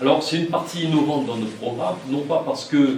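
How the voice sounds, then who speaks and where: Audible room echo and noticeable background noise surround a fairly high-pitched man talking at a moderate pace. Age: 60s. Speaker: municipal election candidate, retired military officer. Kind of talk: campaign speech. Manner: halting, many fillers and repetitions.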